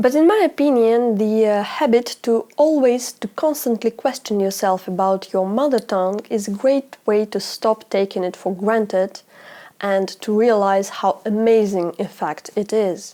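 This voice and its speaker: At a fairly slow pace, a woman with a Russian accent speaks in a dark, mellow tone, her fairly high pitch showing ordinary variation. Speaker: language YouTuber. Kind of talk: educational vlog.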